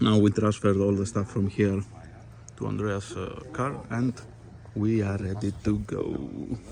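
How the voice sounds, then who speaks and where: A fairly low-pitched man with a Greek accent, fairly even intonation and a fairly slow pace. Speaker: fishing vlogger. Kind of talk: vlog narration. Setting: in a car. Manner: halting.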